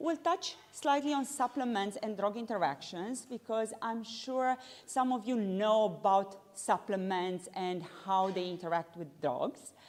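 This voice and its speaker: The speaker is a woman with a fairly high pitch. She talks at a fairly slow pace with lively intonation. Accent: non-native. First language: not English. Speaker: pharmacist and lecturer. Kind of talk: continuing-education lecture. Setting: evening talk with live audience, livestreamed.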